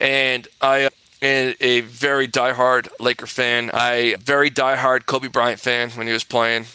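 Speaking at a fairly slow pace with a flat monotone, a man with an American accent and medium pitch has a bright, sharp tone in a dry, close sound with no echo. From Southern California. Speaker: personal injury attorney. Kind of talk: interview. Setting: remote interview from office.

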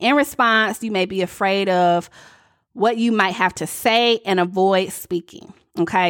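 A woman with a Southern US accent on a very clean recording over a silent background. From US South. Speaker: coach and podcast host. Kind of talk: solo podcast monologue.

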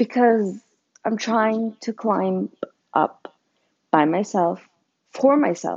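At a very slow pace with long, frequent pauses, a woman talks at a fairly high pitch with ordinary pitch variation. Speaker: podcast host. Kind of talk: raw unedited confessional rant, blunt and emotional, about friendships and depression. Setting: recorded alone with Bluetooth headphones, echo and background noise. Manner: self-conscious, apologizing for how she sounds, unscripted and rambling.

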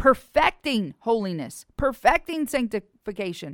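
The recording is very clean, with a silent background and a dry, close sound with no echo. A woman speaks with lively intonation. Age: 40s. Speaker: evangelist. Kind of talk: sermon.

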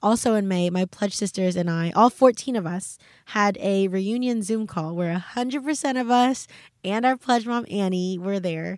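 A woman with an American accent talks at a fairly slow pace in an ordinary speaking voice. Her pitch is medium with ordinary variation, and the recording is very clean with a silent background. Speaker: podcast host. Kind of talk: casual solo podcast chat. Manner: casual, self-deprecating.

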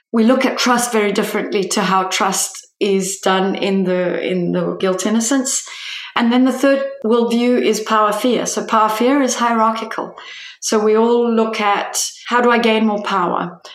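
A woman at a fairly high pitch and moderate pace, her loudness very even, over noticeable background noise. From Italian family, raised outside Italy. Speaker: human development specialist. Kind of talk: interview conversation. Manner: animated, voice rises when excited.

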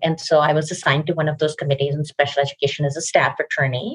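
A woman with an American accent and a very deep, low pitch sounds somewhat breathy in a dry, close recording with no echo. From Pakistan. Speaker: lawyer. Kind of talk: interview.

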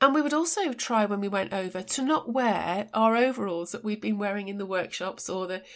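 A woman speaks in an English accent at a fairly quick pace. Her pitch is medium, with ordinary pitch variation. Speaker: podcast host, design and technology educator. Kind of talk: solo educational podcast monologue.

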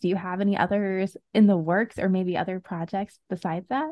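Recorded with a dry, close sound and no echo, a woman speaks at a medium pitch. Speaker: podcast host. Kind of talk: casual interview.

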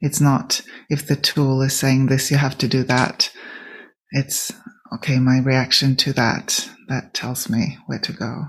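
A woman's very deep, low voice, monotone and flat, at a fairly slow pace. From Sweden. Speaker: podcast host and business coach. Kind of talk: casual interview conversation.

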